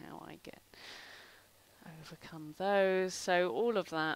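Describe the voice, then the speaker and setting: In a British accent, a woman speaks at a moderate pace with fairly even intonation on a very clean recording against a silent background. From UK. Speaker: artist. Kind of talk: live stream tutorial. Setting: live stream. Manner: casual, rambling with fillers.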